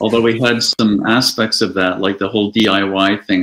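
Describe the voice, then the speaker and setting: Against a quiet background, a man with a plain, everyday voice speaks at a fairly low pitch and a fairly slow pace with fairly even intonation. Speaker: guest. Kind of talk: interview answer. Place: home room.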